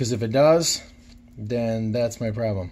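Ordinary pitch variation runs through this man's speech. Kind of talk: casual tutorial commentary. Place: workshop. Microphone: phone near.

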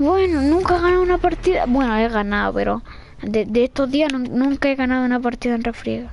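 A woman with a Chilean accent speaks at a high pitch and a fairly quick pace, her intonation lively and her tone animated. Her loudness stays very even over noticeable background noise. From Chile, Santiago. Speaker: gaming streamer. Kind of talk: live gameplay commentary.

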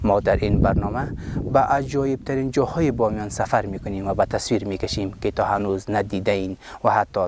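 A normal speaking voice moves at a moderate pace with ordinary pitch variation, its sound dry with no echo over light background noise. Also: man. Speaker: TV presenter. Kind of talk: TV programme intro. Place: open country.

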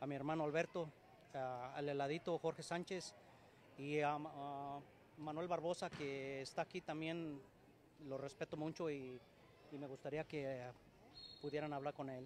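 Speech comes at a fairly slow pace with long, frequent pauses and a monotone, flat intonation. The sound is dry with no echo, over light background noise. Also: man, fairly high pitch for a man. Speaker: amateur football team founder. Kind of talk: interview. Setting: sports complex. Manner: halting. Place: hall. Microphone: poor live stream signal; handheld.

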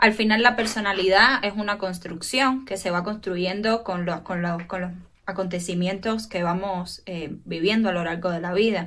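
A woman speaks at a moderate pace with fairly even intonation and hardly any pauses. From Cuba. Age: 20s. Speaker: clinical psychologist; guest. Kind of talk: casual chat. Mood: calm, explanatory. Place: home room. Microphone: earbuds.

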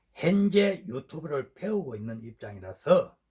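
Somewhat breathy and very slow, a man's voice moves through very wide pitch swings. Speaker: regional dialect presenter. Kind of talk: casual talk to camera.

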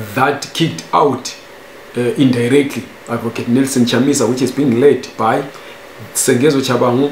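The speech moves at a moderate pace with fairly even intonation. Light background noise and audible room echo are present. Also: man. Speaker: news commentator. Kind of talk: commentary. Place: home room.

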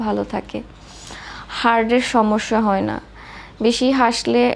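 There is noticeable background noise behind a woman speaking at a fairly high pitch. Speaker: vlogger. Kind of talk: travel vlog narration.

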